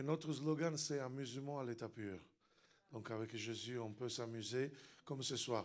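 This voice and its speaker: A man speaks at a medium pitch and a fairly slow pace, with ordinary pitch variation and long, frequent pauses. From Italy. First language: Italian (speaking French). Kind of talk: sermon. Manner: loud; animated.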